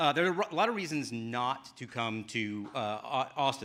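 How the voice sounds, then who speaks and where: Speaking at a medium pitch in a bright, sharp tone, a man makes very wide pitch swings. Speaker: game studio director of development; actor and voice actor. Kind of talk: conference talk. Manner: fast.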